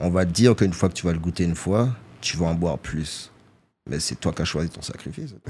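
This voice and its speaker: This man has a very deep, low pitch and a dark, mellow tone. He talks at a very fast pace with ordinary pitch variation. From Guadeloupe, Pointe-à-Pitre. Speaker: rapper. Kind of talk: casual interview. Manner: soft-spoken. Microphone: too quiet.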